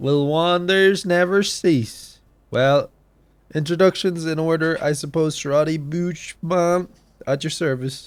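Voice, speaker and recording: Using a put-on character voice, a man sounds gruff, with fairly high pitch, fairly even intonation and a fairly slow pace, in a very clean recording with a silent background. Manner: kindly, well-meaning.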